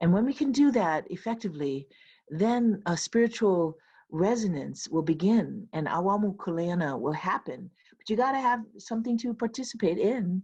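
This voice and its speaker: In a Hawaiian accent, a woman with a medium pitch speaks at a moderate pace in a dark, mellow, somewhat breathy tone with lively intonation, over a quiet background. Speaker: professor and keynote speaker. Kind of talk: closing remarks at virtual retreat. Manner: casual, many fillers.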